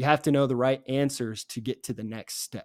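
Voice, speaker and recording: With an American accent, a man talks in an unremarkable speaking voice at medium pitch with ordinary pitch variation, in a dry, close sound with no echo. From Virginia, near Richmond. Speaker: podcast host. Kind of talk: casual religious discussion. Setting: apartment.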